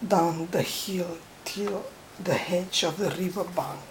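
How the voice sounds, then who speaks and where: A woman speaks very slowly in a non-native accent at medium pitch, her intonation monotone and flat. Noticeable background noise runs underneath. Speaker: storyteller. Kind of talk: bedtime story reading.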